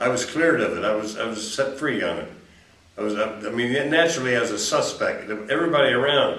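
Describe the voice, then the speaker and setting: With an American accent, a man talks over noticeable background noise and audible room echo. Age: 70s. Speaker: convicted killer. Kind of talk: interview. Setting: jail. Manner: halting.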